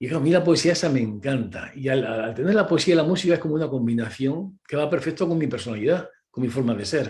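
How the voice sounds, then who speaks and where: Very fast and with hardly any pauses, a man with a fairly high pitch talks in a somewhat breathy voice with lively intonation. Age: 70s. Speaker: concert pianist and accompanist. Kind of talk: interview. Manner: animated.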